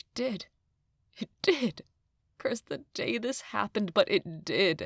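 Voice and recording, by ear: A woman puts on a character voice with vocal fry and lively intonation at a slow pace. The sound is dry and close, with no echo. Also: medium pitch for a woman.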